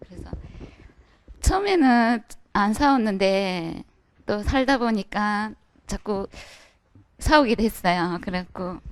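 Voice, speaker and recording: A woman's very slow speech with long, frequent pauses, big swings in loudness and ordinary pitch variation. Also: medium pitch for a woman. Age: 30s. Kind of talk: audience question at a dharma talk.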